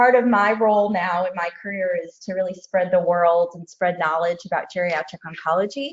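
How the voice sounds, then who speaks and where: A woman with a normal speaking voice talks at a fairly quick pace and medium pitch, with ordinary pitch variation and hardly any pauses. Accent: American. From United States. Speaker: oncologist and researcher. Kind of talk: lecture.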